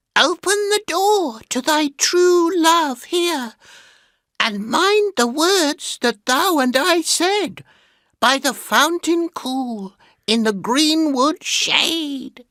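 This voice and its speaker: In a put-on character voice, the speaker goes very slowly with a squeaky, high pitch. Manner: pleading, coaxing.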